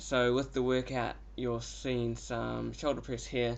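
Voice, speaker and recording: A man speaks with audible room echo. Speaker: fitness vlogger. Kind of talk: casual vlog.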